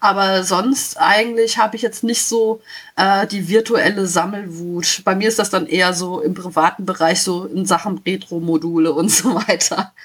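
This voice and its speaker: A woman speaks at a medium pitch and a moderate pace, with ordinary pitch variation. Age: 30s. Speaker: caller. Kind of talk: casual chat.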